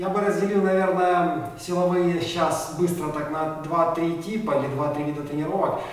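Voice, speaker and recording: Strong room echo surrounds a man speaking at a high pitch. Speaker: athlete vlogger. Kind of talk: casual vlog chat. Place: gym.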